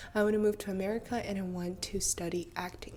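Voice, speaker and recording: A woman speaks with a Russian accent at a medium pitch. Her intonation stays flat and monotone. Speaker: vlogger, actress. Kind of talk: casual storytelling vlog.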